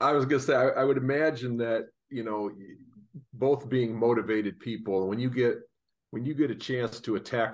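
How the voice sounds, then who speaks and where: Man with an ordinary speaking voice at a medium pitch, ordinary pitch variation, a fairly quick pace and a quiet background. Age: 60s. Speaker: financial advisor co-host. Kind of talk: interview.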